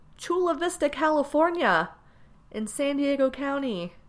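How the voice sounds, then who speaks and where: A woman with an American accent. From US East Coast, military family. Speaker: podcaster. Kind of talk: casual monologue. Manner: hesitant, many fillers and laughs.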